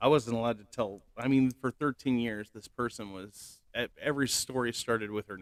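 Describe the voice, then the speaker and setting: Dry and close with no echo, a man speaks at a moderate pace and medium pitch, his intonation fairly even and with hardly any pauses. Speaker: channel host telling personal story. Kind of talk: personal testimony monologue. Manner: halting, many fillers and restarts; loud.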